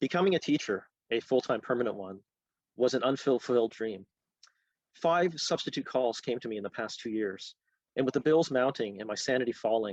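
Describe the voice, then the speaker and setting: In a Canadian accent and a plain, everyday voice, a man talks at a fairly quick pace with a medium pitch and ordinary pitch variation, the sound dry and close with no echo against a quiet background. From Canada, Halifax, Nova Scotia. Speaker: author. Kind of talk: reading aloud.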